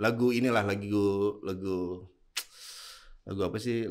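At a very slow pace, a man talks in a fairly low voice with fairly even intonation. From Indonesia, Bone (South Sulawesi), Bugis. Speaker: clothing store founder and entrepreneur. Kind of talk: casual interview.

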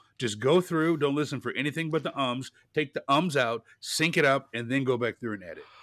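An American man speaks in an animated tone at a fairly quick pace, his pitch fairly high with ordinary variation and hardly any pauses. The recording is very clean and dry, close with no echo against a silent background. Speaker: podcast host. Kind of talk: casual chat.

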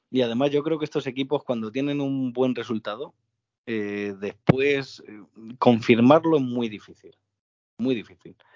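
At a fairly slow pace, a man speaks at medium pitch. His pitch variation is ordinary. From Getafe, Madrid, Spain. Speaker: football podcast co-host. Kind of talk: casual chat. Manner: animated.

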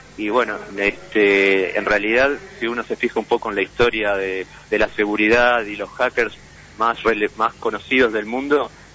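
Against noticeable background noise, the speech runs at a moderate pace with fairly even intonation. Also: man. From Uruguay, Montevideo. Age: 40s. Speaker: imprisoned computer engineer, hacker. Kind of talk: interview. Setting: phone call.

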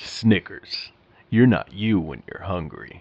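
Using a put-on character voice, a man speaks fairly slowly at a fairly low pitch. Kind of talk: voice acting, advertising tagline. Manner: polished, punchy.

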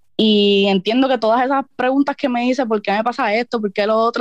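Talking at a fairly quick pace in a Puerto Rican accent, a woman has a high pitch with ordinary pitch variation and a dry, close sound with no echo. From Puerto Rico. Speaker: freestyle rapper. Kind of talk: interview.

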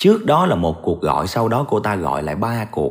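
Using vocal fry, a man talks fairly slowly at a fairly low pitch with very wide pitch swings. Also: very clean recording, silent background. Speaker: true crime storyteller. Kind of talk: storytelling narration. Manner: casual conversational.

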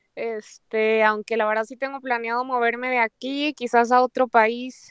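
A woman with an ordinary speaking voice talks at a moderate pace in a fairly high pitch, recorded with a dry, close sound and no echo. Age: 20s. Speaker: Instagram influencer and university student. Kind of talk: casual chat.

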